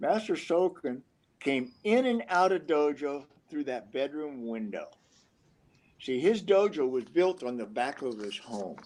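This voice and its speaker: With an American accent, a man speaks at a fairly slow pace in a fairly high pitch, his voice making very wide pitch swings. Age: 70s. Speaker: karate master. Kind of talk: storytelling in live video conference. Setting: live video call.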